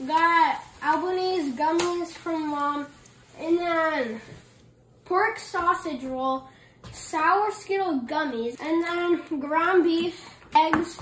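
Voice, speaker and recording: A woman talks very slowly in an extremely high voice with ordinary pitch variation. Light background noise and audible room echo fill the recording. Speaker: family vacation vlogger. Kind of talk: casual vlog chat. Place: kitchen. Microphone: phone near.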